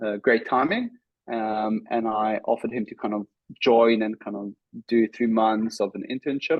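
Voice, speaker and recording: The voice carries a South African accent. It moves at a moderate pace with fairly even intonation. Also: man, medium pitch for a man. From South Africa, Cape Town; raised in Israel from age five. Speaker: startup founder and CEO. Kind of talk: podcast interview. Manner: many filler words (um, uh).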